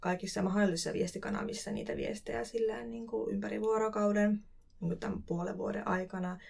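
A woman at medium pitch, moderate pace and ordinary pitch variation, over noticeable background noise. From Finland, Kuopio (Savo). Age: 20s. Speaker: cultural event producer. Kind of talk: casual interview. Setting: studio.

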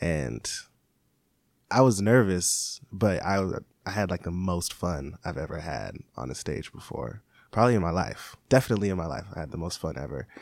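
In a very clean recording with a silent background, a man with a very deep, low pitch and vocal fry speaks with lively intonation. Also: moderate pace. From Seattle. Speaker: hip-hop artist. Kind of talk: interview.

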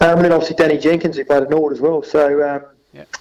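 A man speaks in a fairly high voice with an Australian accent. His intonation is monotone and flat. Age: 30s. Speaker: football assistant coach and amateur cricketer. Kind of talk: radio interview.

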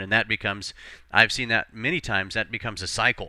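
A bright, sharp voice speaks at a fairly quick pace on a very clean recording with a silent background. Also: man. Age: 40s. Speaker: life coach and podcast host. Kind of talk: solo podcast monologue. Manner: halting, frequent repetitions and fillers.

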